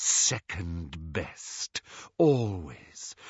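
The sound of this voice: Whispering at a very slow pace, a man uses a put-on character voice with a husky, rough edge and a hissing sound.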